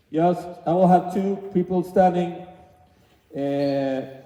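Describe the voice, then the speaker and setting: A high-pitched man with a Swedish accent at a very slow pace. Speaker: youth basketball coach. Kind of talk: coaching clinic demonstration. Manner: halting, many fillers and restarts.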